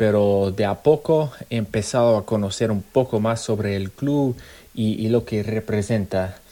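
A man's fairly low, dark and mellow voice, fairly slow and fairly even in intonation, in a very clean recording with a silent background. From US, Arizona. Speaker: football fan. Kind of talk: personal story.

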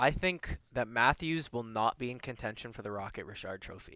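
This man has an Ontario accent, a bright, sharp tone and lively intonation. The recording is very clean and dry, with a close sound, no echo and a silent background. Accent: Canadian (Ontario). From Toronto, Canada (Rexdale). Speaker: hockey podcast co-host. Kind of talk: casual chat.

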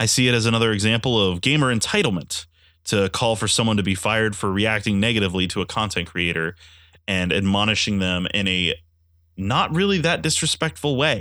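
At a fairly quick pace, a man with a fairly low pitch and a bright, sharp tone speaks with ordinary pitch variation and very even loudness. The recording is very clean, with a silent background. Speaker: podcast host and live streamer. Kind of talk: solo podcast commentary.

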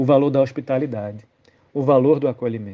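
Pitch varies in an ordinary way in a normal speaking voice. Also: man. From Brazilian Northeast. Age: 40s. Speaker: Anglican clergy / Bible reflection speaker. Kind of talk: biblical reflection, homily-style.

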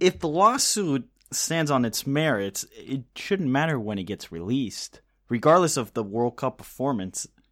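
Pitch moves through very wide swings. Behind the voice the background is silent, and the recording is very clean. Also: man, medium pitch for a man, moderate pace. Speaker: podcast host. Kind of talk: casual podcast banter.

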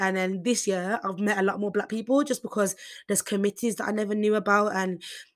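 A woman speaks at a fairly quick pace with a Birmingham accent. Her pitch is medium, and the recording is very clean with a silent background. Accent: Birmingham (Brummie) English. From Birmingham, England. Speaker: podcaster, university student. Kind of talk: casual solo podcast monologue. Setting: university accommodation room. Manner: fast talker; casual, chatty, stumbles over words.

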